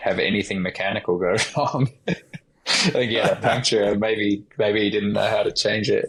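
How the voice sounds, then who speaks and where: Here a man with an American accent speaks at a moderate pace. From Australia, Alice Springs. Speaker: professional gravel cyclist. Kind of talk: casual podcast interview.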